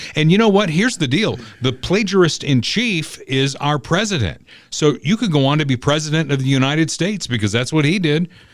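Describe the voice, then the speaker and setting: Animated in tone and lively in intonation, a man speaks at a fairly quick pace in a very clean recording with a silent background. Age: 60s. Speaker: podcast host. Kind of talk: political commentary chat.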